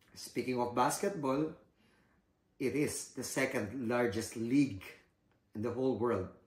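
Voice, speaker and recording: A man with a Filipino accent, somewhat breathy, at a fairly slow pace. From Philippines. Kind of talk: casual informative talk to camera.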